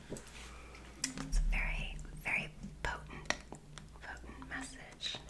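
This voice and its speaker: Against noticeable background noise, a woman speaks very slowly with long, frequent pauses. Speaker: author. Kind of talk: casual talk to camera. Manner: soft-spoken.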